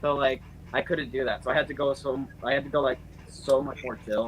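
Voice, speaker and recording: The voice belongs to a man speaking fairly fast. Behind him, background noise is noticeable. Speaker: youtuber. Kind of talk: casual chat. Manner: soft-spoken; stutter.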